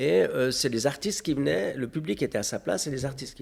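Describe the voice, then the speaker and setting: A man's vocal fry at a fairly quick pace. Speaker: festival founder and mayor. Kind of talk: interview. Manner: hesitant, many fillers.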